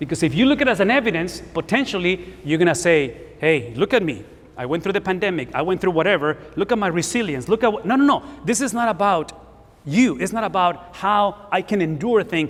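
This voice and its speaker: Over noticeable background noise, a man with a high pitch speaks at a fairly quick pace. His intonation is lively, and he has a Spanish accent. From Spanish-speaking country, came to US at 17. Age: 50s. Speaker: pastor. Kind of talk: sermon.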